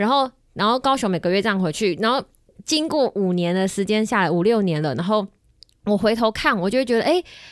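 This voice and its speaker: A woman with an ordinary speaking voice talks at a fairly quick pace and fairly high pitch, with lively intonation, on a very clean recording with a silent background. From Kaohsiung, Taiwan. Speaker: podcast host. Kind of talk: casual chat. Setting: studio.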